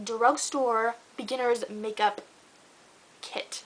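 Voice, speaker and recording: Using a raised, projected voice, a woman speaks with an American accent. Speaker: beauty vlogger. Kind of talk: tutorial. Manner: fast; casual, filler-heavy.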